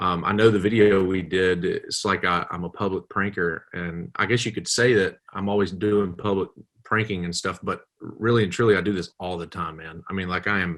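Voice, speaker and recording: In a very clean recording with a silent background, a man with a Southern US accent talks at a moderate pace in a very deep, low pitch, hardly pausing at all. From US South. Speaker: comedian and public pranker. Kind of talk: casual interview chat. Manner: animated.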